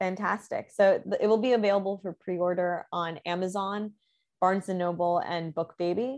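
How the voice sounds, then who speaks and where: A woman speaks in an unremarkable speaking voice at medium pitch. Her intonation is fairly even and her pace moderate. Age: 20s. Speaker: poet and musician. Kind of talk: interview conversation.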